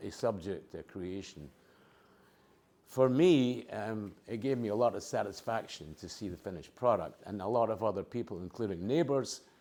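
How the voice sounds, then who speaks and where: With a non-native accent and a dark, mellow tone, the speaker uses lively intonation at a moderate pace, with big swings in loudness. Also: man, fairly low pitch for a man. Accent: has a lifelong foreign. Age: 80s+. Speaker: retiree and abstract artist. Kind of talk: oral history interview. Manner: hesitant, with many fillers.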